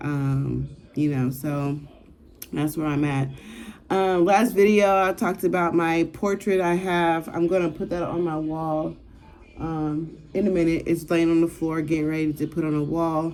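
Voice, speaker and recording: Speaking with a normal speaking voice at a fairly slow pace, a woman keeps a fairly low pitch and fairly even intonation. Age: 40s. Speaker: vlogger. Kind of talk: casual chat.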